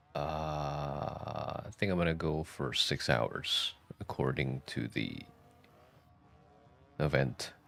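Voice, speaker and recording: Very slowly and with long, frequent pauses, a man talks at a very deep, low pitch with vocal fry and ordinary pitch variation. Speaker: vtuber streamer. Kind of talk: casual live stream chat.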